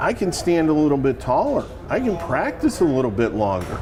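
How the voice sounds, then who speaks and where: Noticeable background noise accompanies a man speaking at a fairly quick pace in a fairly high voice. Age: 60s. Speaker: golf club fitter. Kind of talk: in-store seminar discussion.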